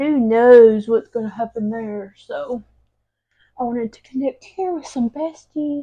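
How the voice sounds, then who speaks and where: Speaking at a very slow pace, a woman with a Southern US accent has a fairly high, dark and mellow voice with ordinary pitch variation. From Alabama. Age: 30s. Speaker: lifestyle vlogger. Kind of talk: casual get-ready-with-me vlog. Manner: chatty, informal. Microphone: new mic, might sound wonky.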